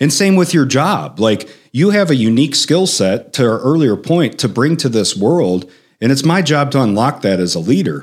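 In a very clean recording with a silent background, a man with a Chicago accent and vocal fry speaks at a moderate pace in a medium pitch, his pitch swinging very widely while his loudness stays very even. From Chicago, South Side. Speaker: author and executive coach. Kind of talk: interview conversation. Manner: animated.

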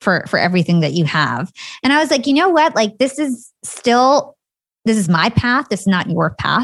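With an American accent, the speaker moves at a moderate pace through very wide pitch swings while keeping very even loudness. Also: woman, fairly high pitch for a woman. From New Jersey, US. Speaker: entrepreneur and podcast host. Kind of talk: interview.

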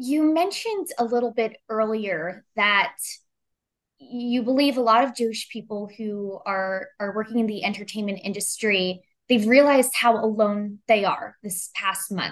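In a normal speaking voice, a woman speaks at a fairly high pitch with ordinary pitch variation. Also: fairly slow pace. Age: 20s. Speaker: news correspondent. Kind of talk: interview.

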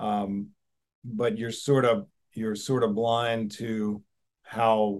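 A man with an American accent, medium pitch and a very slow pace. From Alabama, US South (Birmingham). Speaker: furniture company co-owner. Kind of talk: casual interview. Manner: halting, many fillers.

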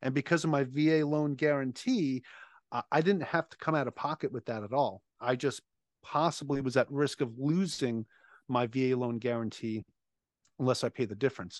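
A man with an American accent talks at a moderate pace in a plain, everyday voice of medium pitch. The sound is dry and close with no echo, over a quiet background. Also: ordinary pitch variation. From Long Island, New York. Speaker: navy veteran and real estate investor. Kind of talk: casual interview.

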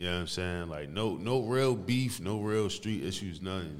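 A man at a moderate pace, with audible room echo. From New Jersey, East Orange. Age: 30s. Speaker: music producer and engineer. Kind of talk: casual chat.

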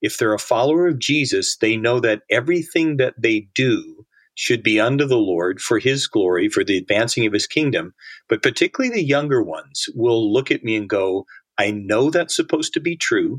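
A man with an ordinary speaking voice talks at a moderate pace and medium pitch, his intonation lively, in a dry, close sound with no echo. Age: 60s. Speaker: author and disciple-making ministry leader. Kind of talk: casual interview.

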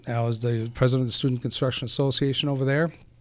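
The very clean recording, with a silent background, captures a man with a Wisconsin accent speaking in a medium pitch with fairly even intonation. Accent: Upper Midwest (Wisconsin). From Eau Claire, Wisconsin. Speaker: construction company president. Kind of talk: casual interview.

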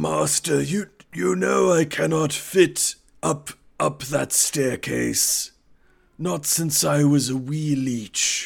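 A man's raspy, put-on character voice at medium pitch and a very slow pace. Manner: servile, formal, suspicious.

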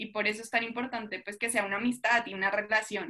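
A woman talks in a normal speaking voice at a moderate pace. Her pitch sits fairly high. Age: young. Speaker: church youth leader and student. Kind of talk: faith testimony in casual podcast chat.

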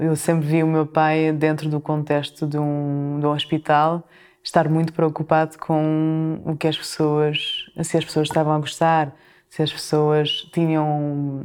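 A woman with a very deep, low voice talks at a fairly slow pace in a monotone, flat intonation. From France and Portugal. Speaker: chef and restaurant owner. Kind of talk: interview. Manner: halting.

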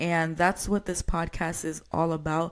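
A woman's normal speaking voice, fairly low in pitch, fairly slow and fairly even in intonation, on a very clean recording with a silent background. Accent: American. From New York. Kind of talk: solo podcast monologue. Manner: casual, conversational.

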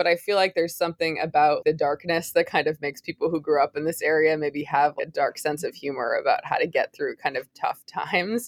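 A woman talks at a fairly quick pace with hardly any pauses, in a dry, close sound with no echo on a very clean recording with a silent background. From Massachusetts, outside Boston. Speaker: author and writing teacher. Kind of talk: interview.

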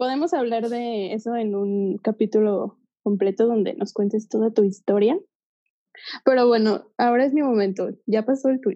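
A woman with a plain, everyday voice, fairly high-pitched, at a moderate pace with ordinary pitch variation. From Guadalajara, Mexico. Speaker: marketer, podcast host. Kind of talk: casual chat.

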